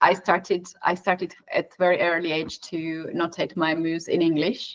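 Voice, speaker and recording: A woman speaks in a Georgian accent at a moderate pace. Her pitch is fairly low and her intonation monotone, flat. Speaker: chess commentator. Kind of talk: live commentary. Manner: halting.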